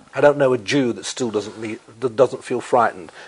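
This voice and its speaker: The man speaks at a medium pitch. Noticeable background noise runs behind him. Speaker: novelist and columnist. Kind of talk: interview answer. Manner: eloquent, articulate.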